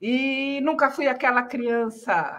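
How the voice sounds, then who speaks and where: A woman is speaking. Her tone is bright and sharp. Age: 60s. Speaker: journalist. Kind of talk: interview.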